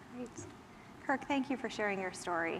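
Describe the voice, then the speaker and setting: A woman with a medium pitch talks while noticeable background noise continues underneath. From Minnesota. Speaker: panel moderator. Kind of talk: panel moderation.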